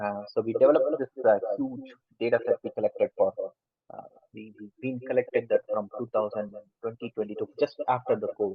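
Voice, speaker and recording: A man with a strong Indian accent and big swings in loudness. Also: fairly quick pace. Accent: thick Indian. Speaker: lecturer. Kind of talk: lecture. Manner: fast.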